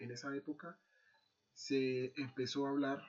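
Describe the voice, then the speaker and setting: A man speaks fairly slowly at a medium pitch. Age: 30s. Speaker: army NCO and university student. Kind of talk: class presentation. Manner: hesitant, many fillers.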